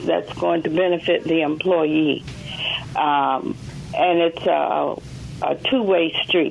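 Very slow speech from a woman with a Southern US accent, over noticeable background noise. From Mississippi. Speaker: caller. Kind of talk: radio call-in.

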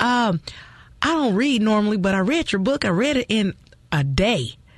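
Her voice carries a somewhat breathy quality. The woman talks at a moderate pace, her intonation lively. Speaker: radio co-host. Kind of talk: casual chat.

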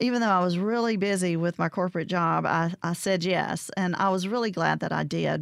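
With a Southern US accent, a woman speaks at a fairly low pitch in a dry, close sound with no echo, on a very clean recording with a silent background. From Mississippi (Vicksburg area). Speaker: arts organization director. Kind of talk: radio interview. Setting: studio.

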